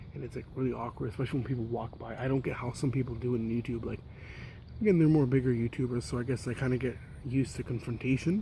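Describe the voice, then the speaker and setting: A soft-spoken man talks at a very fast pace in a dark, mellow tone that is somewhat breathy. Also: medium pitch for a man, fairly even intonation. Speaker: YouTuber, cycling vlogger. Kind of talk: casual vlog. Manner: soft-spoken, keeping voice down.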